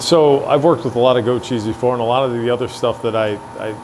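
A man talks in a fairly even intonation over noticeable background noise. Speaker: restaurant owner vlogger. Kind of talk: casual conversation. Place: factory.

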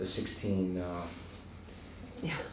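A man is heard with audible room echo and light background noise. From Hawaii, USA. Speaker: Buddhist monk and teacher. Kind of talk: Dharma talk to a live audience. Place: hall.

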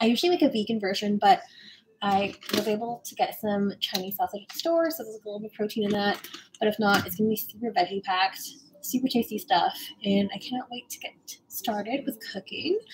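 A woman's very fast speech with big swings in loudness, over noticeable background noise. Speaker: cooking livestreamer. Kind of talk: casual vlog chat. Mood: cheerful, excited. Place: kitchen. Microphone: phone near.

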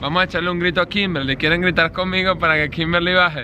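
A man with a high pitch over noticeable background noise. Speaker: YouTuber vlogger. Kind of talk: casual vlog narration. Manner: animated. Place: street. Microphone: phone near.

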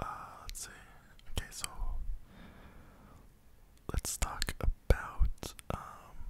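Soft-spoken whispering moves at a very slow pace, dry with no echo, over light background noise. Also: man. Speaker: content creator. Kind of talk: casual ASMR-style vlog chat. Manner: soft close-mic whisper. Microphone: studio mic.

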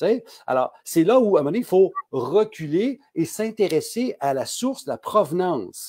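At a fairly slow pace, the voice has a dark, mellow tone and very wide pitch swings. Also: man, high pitch for a man, quiet background. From Quebec. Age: 60s. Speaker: pharmacist; guest. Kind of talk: casual interview. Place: home room.

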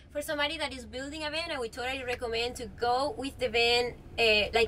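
Over light background noise, a woman with a Spanish accent talks at a fairly quick pace in a high voice with ordinary pitch variation. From Mallorca, Spain. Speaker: van-life traveler. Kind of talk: casual chat. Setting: inside a van. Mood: relaxed, animated. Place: home room. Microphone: camera far.

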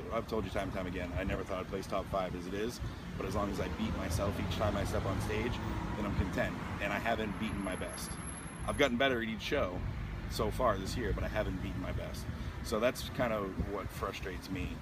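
Loud background noise fills the recording. A man speaks at a very fast pace. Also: dry sound with no echo. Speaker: interviewee. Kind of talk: interview answer. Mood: reflective, somewhat frustrated. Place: street. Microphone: handheld.

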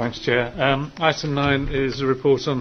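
This man talks at a moderate pace and medium pitch, with little pitch movement.

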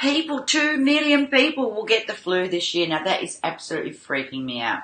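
Noticeable background noise accompanies a woman speaking at a moderate pace with very wide pitch swings. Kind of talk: casual vlog chat. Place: home room.

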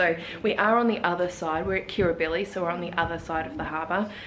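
Speaking at a moderate pace, a woman has a fairly low pitch. There is noticeable background noise. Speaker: travel vlogger. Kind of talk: casual vlog chat. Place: home room. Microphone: phone near.

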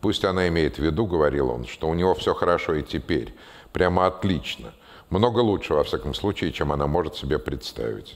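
With vocal fry and a very deep, low pitch, a man talks at a very fast pace and with lively intonation. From Russia. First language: Russian. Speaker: writer and former physician; guest. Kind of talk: public conversation with audience Q&A. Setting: stage with audience. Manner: halting. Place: stage.

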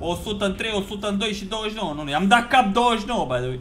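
Over light background noise, a man talks at a high pitch with very wide pitch swings. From Romania. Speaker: gaming YouTuber; gaming streamer. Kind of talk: live gameplay commentary. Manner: animated; fast. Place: home room. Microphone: headset.

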